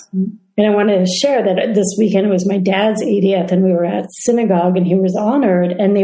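A woman speaks fairly quickly at a medium pitch with ordinary pitch variation, her voice somewhat breathy with a dark, mellow tone. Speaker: interviewer, speaker series host. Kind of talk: interview conversation.

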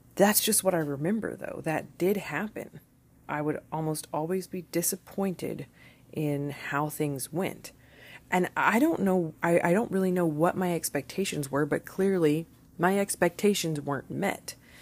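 Recorded very cleanly against a silent background, a woman in a normal speaking voice talks at a moderate pace, her fairly low pitch showing ordinary variation. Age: 30s. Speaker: podcast host. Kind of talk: solo monologue. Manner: casual, conversational.

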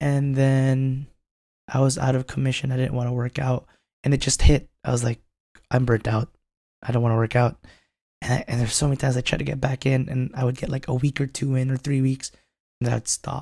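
A man's somewhat breathy, dark, mellow voice, medium in pitch and monotone with flat intonation, at a fairly quick pace broken by long, frequent pauses. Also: dry, close sound with no echo. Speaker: co-host. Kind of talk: casual podcast chat.

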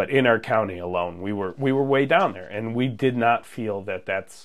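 A man speaks in a normal speaking voice with an American accent. His pitch is medium, with ordinary variation, at a moderate pace. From Munster, Indiana (northwest Indiana). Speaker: police officer. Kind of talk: casual interview.

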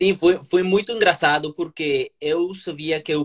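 His delivery is fairly slow. The man's voice sounds dry and close, without any echo. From Colombia. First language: Spanish (speaking Portuguese). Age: 30s. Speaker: lawyer and language learner. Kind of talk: interview. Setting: Instagram live video call. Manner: halting.

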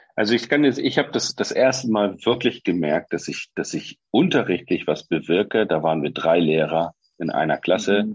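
A man with a plain, everyday voice talks at a fairly low pitch and a moderate pace, with hardly any pauses. His intonation is lively, and the sound is dry and close with no echo. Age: 40s. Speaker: former teacher. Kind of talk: casual chat.

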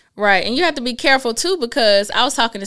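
The voice has a bright, sharp tone and a very fast pace. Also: woman. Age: 30s. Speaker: financial business owner and credit speaker. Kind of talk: casual interview. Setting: studio.

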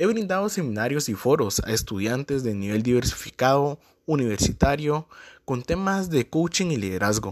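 This man speaks at a moderate pace with a fairly high pitch and very wide pitch swings, on a very clean recording against a silent background. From Guatemala. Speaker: marketer and business coach podcaster. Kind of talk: podcast introduction monologue.

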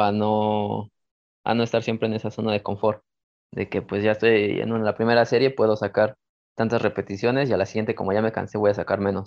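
This is a normal speaking voice. It moves at a moderate pace. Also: man. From Mexico City. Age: 20s. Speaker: calisthenics athlete. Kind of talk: interview.

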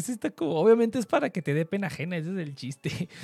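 A man with a Mexican accent speaks at a fairly quick pace in a high voice with a dark, mellow tone, recorded dry and close with no echo. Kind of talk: casual chat. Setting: livestream. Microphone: far from the mic.

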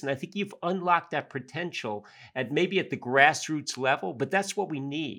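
In a very clean recording with a silent background, a man with an American accent speaks at a moderate pace in a bright, sharp tone. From Yonkers, New York. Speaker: podcast host. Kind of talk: interview. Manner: halting, many fillers.

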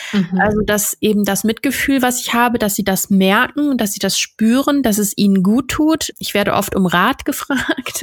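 Somewhat breathy and fairly high, a woman's voice moves at a moderate pace with hardly any pauses and ordinary pitch variation. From North Rhine-Westphalia, Germany. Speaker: podcast host. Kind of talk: casual interview.

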